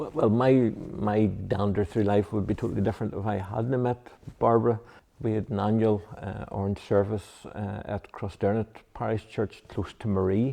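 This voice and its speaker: The speaker has a Mid-Ulster accent. Delivery is at a moderate pace with fairly even intonation. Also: man, fairly low pitch for a man. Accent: Mid-Ulster Northern Irish. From Northern Ireland, County Tyrone. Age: 60s. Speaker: Presbyterian minister. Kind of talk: interview. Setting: church. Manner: halting, many fillers.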